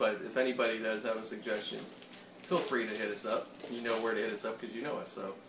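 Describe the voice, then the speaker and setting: Speaking at a very fast pace with fairly even intonation, a man with an American accent holds a medium pitch while noticeable background noise plays. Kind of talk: casual chat while cooking. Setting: home kitchen.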